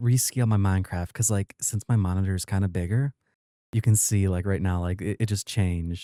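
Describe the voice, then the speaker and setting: A man with a fairly low pitch and a dark, mellow tone talks at a fairly quick pace with fairly even intonation, in a very clean recording with a silent background and a dry, close sound with no echo. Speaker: gaming youtuber. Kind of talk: let's play commentary. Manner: quieter, late-night recording; casual, filler-heavy.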